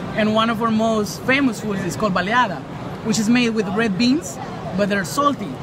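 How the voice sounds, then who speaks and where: The speech moves at a moderate pace with a dry sound, no echo, and noticeable background noise. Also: man. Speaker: interviewee living in Taiwan. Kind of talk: casual interview. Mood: calm, friendly advice. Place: shop. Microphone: phone near.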